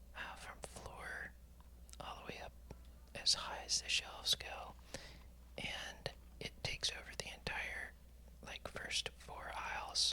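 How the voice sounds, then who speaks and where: Someone whispers at a fairly slow pace. The tone is relaxed. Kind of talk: ASMR whispered voiceover while shopping and organizing store shelves; casual talk to camera. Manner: whispered, relaxed.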